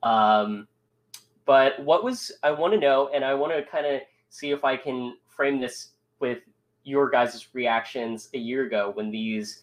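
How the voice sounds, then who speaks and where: Fairly slowly, a man talks in an ordinary speaking voice, his medium pitch varying in an ordinary way. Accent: American. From US. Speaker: esports organization show host. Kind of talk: casual chat. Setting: studio.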